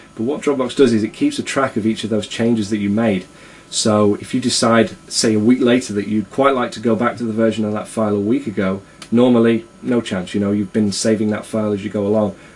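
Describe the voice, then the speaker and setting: Very fast speech over noticeable background noise. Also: man, medium pitch for a man, fairly even intonation. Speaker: tech video blogger. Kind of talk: casual software review. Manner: hesitant, many fillers.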